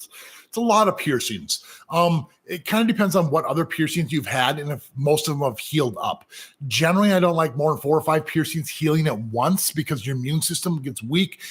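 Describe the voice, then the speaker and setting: This man has an American accent and a somewhat breathy, fairly high-pitched voice. His intonation is lively and his pace fairly quick. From US Midwest, Minnesota. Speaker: professional piercer. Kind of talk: live Q&A. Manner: casual, halting with fillers.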